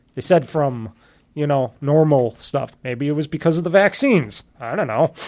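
A man has a plain, everyday voice with a fairly high pitch, moving at a moderate pace. The recording is very clean, with a silent background. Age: 30s. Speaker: podcast host. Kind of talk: casual chat.

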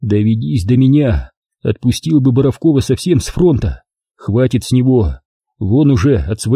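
Lively intonation in plain reading aloud, quiet background behind it

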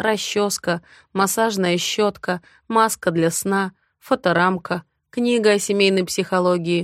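A quiet background beneath plain reading aloud

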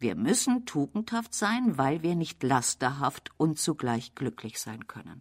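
In a put-on character voice, a woman talks at an extremely low pitch with lively intonation and a fairly slow pace. The recording is very clean and the background silent.

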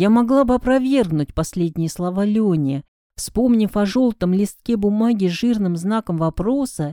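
The clip has a natural reading voice. Behind it, the background is quiet.

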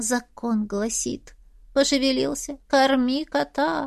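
Using a put-on character voice, a woman talks at a slow pace with a high pitch, vocal fry, and ordinary pitch variation.

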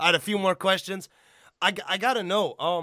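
With an American accent, a man speaks in an animated tone. His voice is bright and sharp, with vocal fry. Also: very clean recording, silent background. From Illinois, US Midwest. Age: 30s. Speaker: podcast host. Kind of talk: casual chat.

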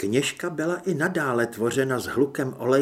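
The voice reads in an unforced way.

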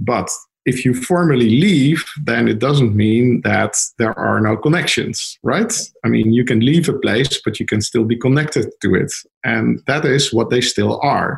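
With a Dutch accent, a man speaks at a fairly slow pace. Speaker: lawyer. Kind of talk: interview.

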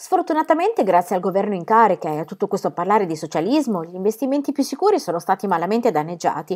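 The speaker does plain reading aloud.

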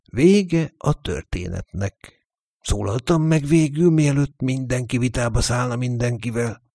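An unforced reading voice with ordinary pitch variation comes through against a quiet background.

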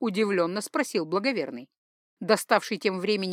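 The words are read aloud in a natural voice, and the background is quiet.

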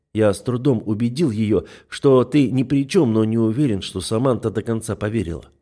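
Simple, plain reading aloud

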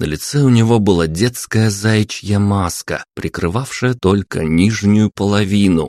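Plain reading aloud, its pitch variation ordinary

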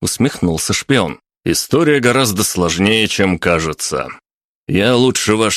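With lively intonation, an unforced reading voice stands out against little background sound.

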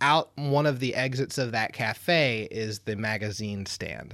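A man's medium-pitched, unremarkable speaking voice, fairly slow, with lively intonation. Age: 30s. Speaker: podcast host. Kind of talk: casual chat.

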